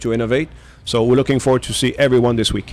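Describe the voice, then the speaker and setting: A man talks with a French accent at a medium pitch. His intonation is monotone and flat. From Quebec, Montreal. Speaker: aviation engine company executive. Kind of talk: radio interview. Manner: halting, many fillers.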